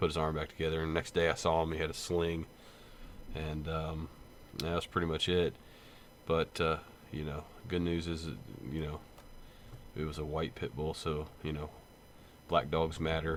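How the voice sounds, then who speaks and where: A man speaks at a very deep, low pitch in a monotone, flat intonation. He leaves long, frequent pauses. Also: moderate pace. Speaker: gaming channel host and police officer. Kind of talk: casual vlog unboxing. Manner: halting, many fillers.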